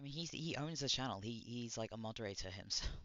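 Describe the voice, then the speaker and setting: Mumbling at a fairly quick pace, a man speaks at a medium pitch with ordinary pitch variation. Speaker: streamer reacting to videos. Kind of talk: casual livestream reaction commentary. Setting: livestream. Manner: halting, many restarts.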